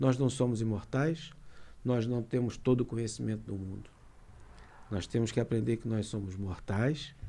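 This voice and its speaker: Somewhat breathy and dark, mellow in tone, a man speaks at medium pitch and a fairly slow pace with ordinary pitch variation. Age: 60s. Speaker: lawyer. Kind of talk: casual chat.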